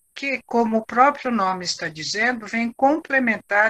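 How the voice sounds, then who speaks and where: Her voice fairly high, bright and sharp, a woman speaks at a fairly slow pace with lively intonation in a dry, close sound with no echo. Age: 70s. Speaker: teacher and biographical counselor. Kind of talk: talk. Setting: at home.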